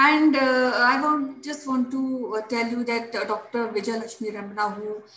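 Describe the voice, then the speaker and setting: A woman speaks at a fairly slow pace with fairly even intonation, in audible room echo with faint music in the background. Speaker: show host. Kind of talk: show host introduction. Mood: somber, respectful. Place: home room. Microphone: webcam.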